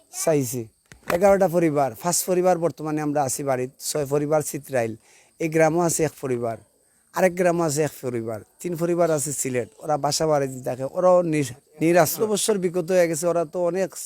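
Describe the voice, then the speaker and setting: Speaking in a Sylheti accent, a man has a fairly high pitch and a dark, mellow tone. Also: ordinary pitch variation. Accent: Sylheti Bengali. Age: 50s. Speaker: local resident making a grievance. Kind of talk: interview testimony.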